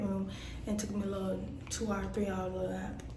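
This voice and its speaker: A woman talks very fast, her voice carrying audible room echo over noticeable background noise. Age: 20s. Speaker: truck driver vlogger. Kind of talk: casual vlog. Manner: casual and chatty.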